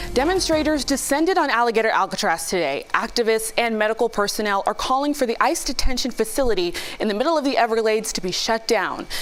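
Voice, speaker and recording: Background noise is noticeable as a woman talks at a very fast pace with hardly any pauses. Her pitch is fairly high, and her intonation is lively. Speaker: news anchor. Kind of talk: news reading.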